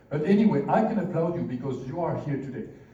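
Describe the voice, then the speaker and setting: Speaking with a French accent at a fairly quick pace, a man uses a high pitch with ordinary variation amid noticeable background noise and audible room echo. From France. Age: 50s. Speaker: business executive. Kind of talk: seminar talk. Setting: stage with audience. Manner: animated.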